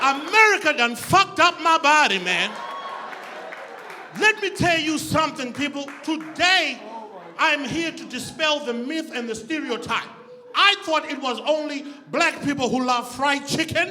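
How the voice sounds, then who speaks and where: An animated man with an extremely high pitch for a man, raised and projected, ordinary pitch variation, noticeable background noise and audible room echo. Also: fairly slow pace. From Zimbabwe. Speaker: comedian. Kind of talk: stand-up. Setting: stage with audience.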